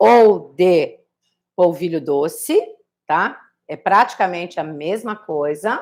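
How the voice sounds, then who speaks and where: A woman talks at a very slow pace. Her pitch moves in very wide swings. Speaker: cooking instructor. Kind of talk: live cooking tutorial. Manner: casual, chatty.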